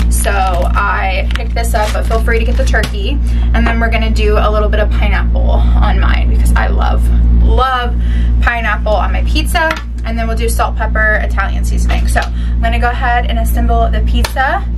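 Music plays in the background. A woman talks over it at a fairly quick pace. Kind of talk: casual cooking tutorial. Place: kitchen.

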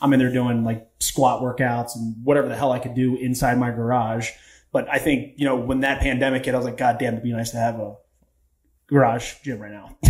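The speaker has an American accent and talks at a fairly quick pace in a monotone, flat way. The voice is somewhat breathy, and the background is quiet. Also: man. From Baltimore, Maryland. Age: 30s. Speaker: podcast guest, coach. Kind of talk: casual chat. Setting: studio, in person. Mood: relaxed, candid, some swearing. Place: studio. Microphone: studio mic.

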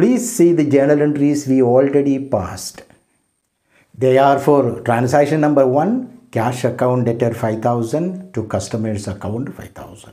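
Against a quiet background, a man with an Indian accent speaks fairly slowly in a dark, mellow tone with ordinary pitch variation. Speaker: professor. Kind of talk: lecture. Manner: formal.

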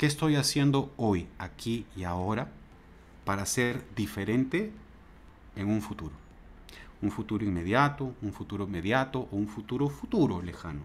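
Pausing long and often, a man with a fairly low pitch speaks at a moderate pace with lively intonation. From Peru. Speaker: university lecturer. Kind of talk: interview. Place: home room. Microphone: earbuds.

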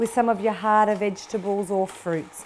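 A woman speaks at a moderate pace with a slightly mellow tone. Faint background noise sits behind her.

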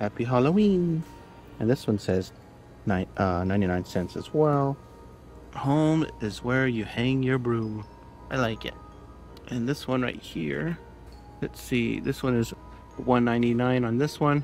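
A man at a fairly slow pace with long, frequent pauses, dry sound with no echo, and faint music in the background. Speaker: shopper vlogger. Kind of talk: casual vlog chat. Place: shop. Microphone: phone near.

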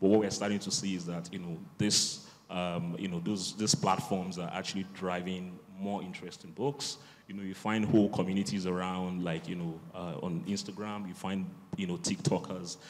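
The speech moves at a moderate pace with fairly even intonation. Light background noise sits beneath it. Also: man, very deep, low pitch for a man. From Nigeria. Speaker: bookseller. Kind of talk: panel discussion. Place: hall. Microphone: handheld.

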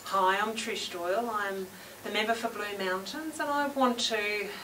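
Light background noise behind a woman talking. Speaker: local politician. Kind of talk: short video message to camera. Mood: warm, affectionate. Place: hall.

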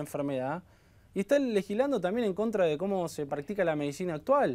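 A man with a high-pitched voice speaks at a fairly quick pace. His intonation is lively. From Argentina. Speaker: fertility doctor and former congressional adviser; guest. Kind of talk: interview. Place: studio. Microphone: lapel.

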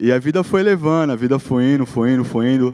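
A man's dark, mellow voice at a very fast pace, ordinary pitch variation, quiet background. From Brazil, Guarujá, São Paulo state; São Paulo, Brazil. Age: 30s. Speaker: social project founder and jiu-jitsu instructor; jiu-jitsu instructor. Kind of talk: motivational talk. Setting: stage with audience. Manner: casual slang-filled speech. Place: stage. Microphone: handheld.

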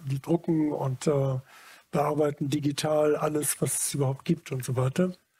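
A man with a dark, mellow tone and fairly high pitch speaks at a moderate pace, somewhat breathy, with monotone, flat intonation. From Germany, Munich; Germany. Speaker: photographer; interviewee. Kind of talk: public talk before audience. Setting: stage with audience. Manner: halting. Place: hall. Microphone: headset.

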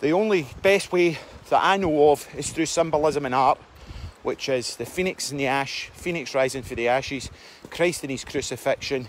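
Against a dry sound with no echo and light background noise, a man with a Scottish accent speaks at a moderate pace and a fairly high pitch with ordinary pitch variation. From Scotland. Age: 40s. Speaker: self-help vlogger. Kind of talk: casual monologue. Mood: earnest, reflective. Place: forest. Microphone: phone near.

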